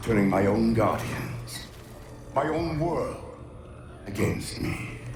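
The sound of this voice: Over faint music in the background, a man puts on a character voice at a fairly low pitch, with a slightly mellow tone, vocal fry, lively intonation and a slow pace.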